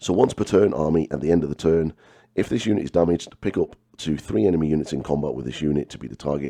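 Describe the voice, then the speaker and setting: At a very fast pace, a man with a very deep, low pitch, a dark, mellow tone and vocal fry speaks with ordinary pitch variation. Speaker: miniature painting and wargaming video host. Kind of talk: casual talk to camera.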